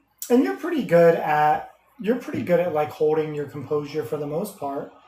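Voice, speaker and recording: At a moderate pace, a man speaks in a fairly high voice with ordinary pitch variation, and audible room echo surrounds him. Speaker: podcast co-host. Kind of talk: casual chat. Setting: live stream. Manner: loud.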